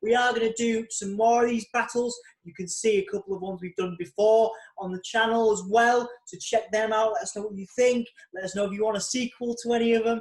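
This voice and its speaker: A man's high, animated voice in a Yorkshire accent, at a fairly quick pace with big swings in loudness. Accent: Yorkshire British. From Yorkshire, northern England. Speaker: podcast host, magazine editor. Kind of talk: casual chat.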